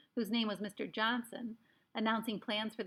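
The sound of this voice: The voice reads aloud in an unforced way.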